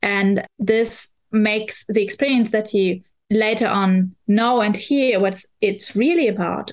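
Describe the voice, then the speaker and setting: A woman with a German accent, medium pitch and fairly even intonation, at a fairly slow pace. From Germany. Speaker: VR journalist and critic. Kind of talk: casual chat.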